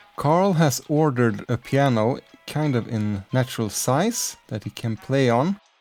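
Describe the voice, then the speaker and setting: Fairly slow, medium-pitched speech from a man with lively intonation, music in the background. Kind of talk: Minecraft let's play commentary. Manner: soft-spoken.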